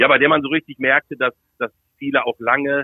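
At a fairly quick pace, a man speaks in a normal speaking voice at a medium pitch. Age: 50s. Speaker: football commentator. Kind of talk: interview.

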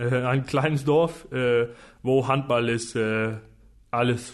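A man with a Danish accent talks at a medium pitch in a monotone, flat intonation. He goes very slowly against a quiet background. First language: Danish (speaking German). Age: 20s. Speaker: professional handball player. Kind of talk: casual interview. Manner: halting, searching for words.

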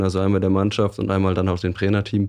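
Over a quiet background, a man speaks with a fairly low pitch, a dark, mellow tone and monotone, flat intonation. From northwestern Germany, Osnabrück area. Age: 20s. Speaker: athletic coach. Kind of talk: interview conversation.

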